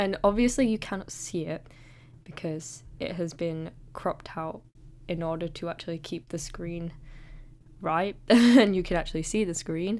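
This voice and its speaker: A woman mumbles at a fairly low pitch and a moderate pace. Her pitch varies in an ordinary way. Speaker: digital artist. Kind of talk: narrated art process tutorial. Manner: hesitant, occasionally mumbling.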